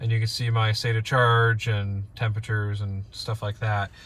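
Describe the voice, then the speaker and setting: A man speaks at a fairly slow pace, his voice dry with no echo. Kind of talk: casual vlog chat. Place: car. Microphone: phone near.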